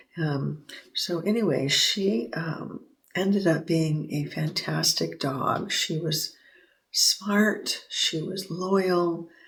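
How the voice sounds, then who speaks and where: Soft-spoken, a woman talks at a very slow pace. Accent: American. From Southern California. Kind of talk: sleep story. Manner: hesitant, casual.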